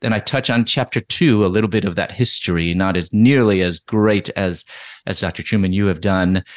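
A man with a fairly low pitch and an ordinary speaking voice talks at a fairly quick pace with ordinary pitch variation, in a dry, close sound with no echo against a quiet background. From US Midwest, Chicago. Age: 50s. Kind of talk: interview conversation.

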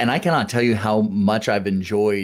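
A normal speaking voice from a man, fairly low in pitch and at a moderate pace, in a very clean recording with a silent background. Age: 30s. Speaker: gym business podcast co-host. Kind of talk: casual chat.

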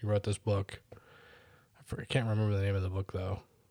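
A man with a fairly low pitch speaks in a monotone, flat intonation at a moderate pace, somewhat breathy, in a dry, close sound with no echo and a very clean recording over a silent background. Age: 30s. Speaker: podcast co-host. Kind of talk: casual chat.

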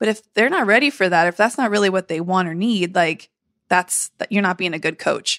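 An American-accented woman talks at a fairly quick pace in an unremarkable speaking voice of medium pitch, with ordinary pitch variation and a dry, close sound with no echo. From San Diego, California. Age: 40s. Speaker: beauty industry coach and podcast host. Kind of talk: casual interview.

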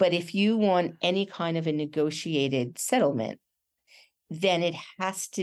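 In a quiet background, a woman with an American accent uses an ordinary speaking voice, fairly low in pitch with ordinary pitch variation, at a fairly slow pace. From Massachusetts, US (Brookline, Boston area). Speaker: newspaper editor and journalist. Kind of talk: webinar interview. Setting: online webinar.

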